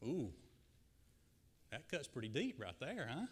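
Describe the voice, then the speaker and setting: At a moderate pace, a man with a Southern accent talks in an energetic tone, his voice edged with vocal fry. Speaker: guest preacher. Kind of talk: sermon. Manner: energetic, addresses audience directly. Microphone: slight echo and feedback from PA.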